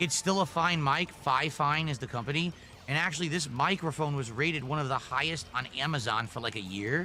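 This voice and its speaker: A man with an ordinary speaking voice talks at a fairly quick pace, his fairly high pitch showing ordinary variation. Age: 40s. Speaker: streamer. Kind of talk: casual live stream chat.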